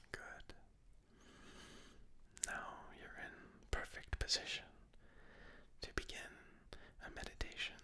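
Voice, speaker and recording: A man whispers in a calm tone at a fairly slow pace. His loudness swings widely, broken by long, frequent pauses. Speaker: ASMR artist. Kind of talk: ASMR meditation tutorial. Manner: whispered; slow, soft-spoken, calm.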